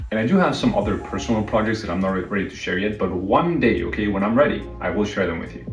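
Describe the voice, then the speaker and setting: Over music in the background, a man with a Spanish accent speaks in a fairly low voice. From northern Mexico, Saltillo. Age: 30s. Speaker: live streamer. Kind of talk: casual chat.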